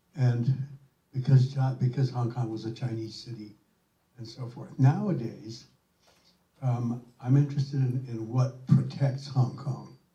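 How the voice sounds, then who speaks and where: Speaking fairly slowly, a man uses a dark, mellow, somewhat breathy tone and fairly even intonation. His loudness swings widely, and he takes long, frequent pauses. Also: medium pitch for a man. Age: old. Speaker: former ambassador, audience member.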